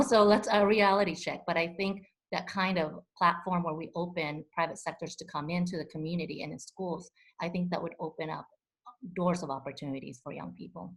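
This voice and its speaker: A woman talks at a fairly quick pace in a fairly low, somewhat breathy voice with big swings in loudness. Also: very clean recording, silent background. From immigrant refugee to the US. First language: not English; English is fourth language. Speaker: community advocate, panelist. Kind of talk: panel discussion.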